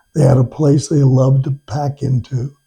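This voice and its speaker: A man's fairly slow, somewhat breathy voice, fairly high in pitch, with a dark, mellow tone. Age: 80s+. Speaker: retired attorney, teacher and hunting guide. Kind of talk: interview.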